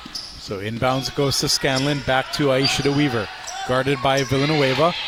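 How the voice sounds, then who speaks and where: Noticeable background noise sits behind a man speaking at a moderate pace with a fairly high pitch. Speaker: play-by-play announcer. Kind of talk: live play-by-play sports commentary. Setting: live at the gym, radio broadcast.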